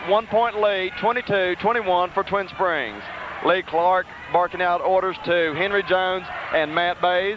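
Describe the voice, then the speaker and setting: A man speaks at a moderate pace with a high pitch. Noticeable background noise runs underneath. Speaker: radio play-by-play announcer. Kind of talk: live commentary. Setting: arena with crowd. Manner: loud, shouting.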